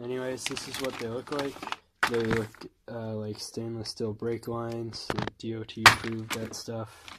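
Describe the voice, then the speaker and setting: Over noticeable background noise, a man talks in a medium pitch. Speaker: car DIY youtuber. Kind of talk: tutorial. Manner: casual.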